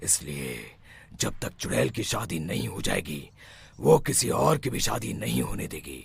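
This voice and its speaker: Cartoonish character voice from a man, very deep and low, with very wide pitch swings at a moderate pace. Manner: authoritative.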